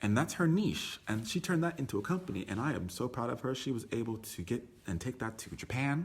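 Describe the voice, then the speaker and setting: Loud, animated, very fast speech with very wide pitch swings. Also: man, medium pitch for a man. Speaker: tour company owner giving business talk. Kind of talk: live stream talk.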